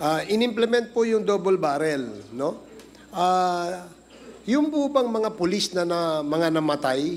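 Over light background noise, a man with a high voice speaks at a fairly slow pace with lively intonation. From Philippines. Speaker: committee chair; witness. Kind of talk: formal hearing interrogation. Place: hall. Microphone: podium.

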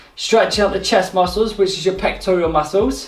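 A man is speaking with audible room echo. Faint music plays in the background. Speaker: fitness instructor. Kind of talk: exercise class instruction. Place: home room. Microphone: camera far.

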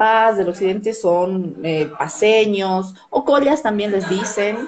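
A woman speaks over light background noise. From southern Bolivia (Tarija); Bolivia. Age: 30s. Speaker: TV news presenter and journalist; interview guest, journalist. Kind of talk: interview over video call. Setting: live stream call from her office. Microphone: video call.

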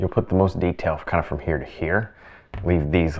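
A man with a very deep, low pitch over a quiet background. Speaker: painting instructor. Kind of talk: tutorial. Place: studio.

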